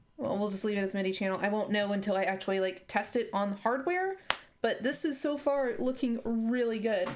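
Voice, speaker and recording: A woman speaks quietly with lively intonation and very even loudness over noticeable background noise. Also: fairly high pitch for a woman. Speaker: app developer streamer. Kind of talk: live coding stream. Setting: live stream. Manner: halting.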